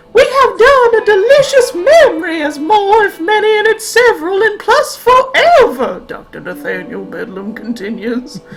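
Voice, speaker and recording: At a moderate pace, a woman performs in a put-on character voice. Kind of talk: comic Southern belle voice. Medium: game stream. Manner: kind, stoic.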